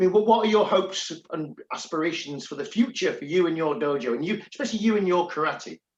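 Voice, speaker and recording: Very fast with hardly any pauses, a man with an English accent speaks at a high pitch with lively intonation. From England. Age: 60s. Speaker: karate instructor and podcast host. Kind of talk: casual chat. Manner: halting.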